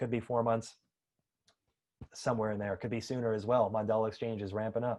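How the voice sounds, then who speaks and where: Very fast speech from a man at medium pitch against a quiet background. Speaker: crypto project team member hosting AMA. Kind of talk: live AMA voice chat.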